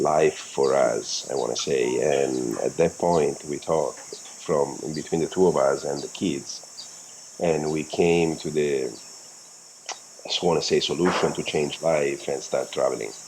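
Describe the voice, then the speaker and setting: Amid noticeable background noise, a man with a non-native accent speaks at a fairly slow pace. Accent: foreign accent in English. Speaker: world-travelling parent, physical therapist. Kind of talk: casual interview chat. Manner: halting.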